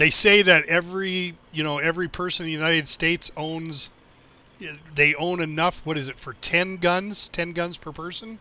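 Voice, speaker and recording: A man with an American accent talks at a moderate pace in a high voice, his intonation fairly even but his loudness swinging widely. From Montana. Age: 60s. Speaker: gaming streamer and Navy veteran. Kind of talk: casual chat while livestreaming a game. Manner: casual, halting with fillers.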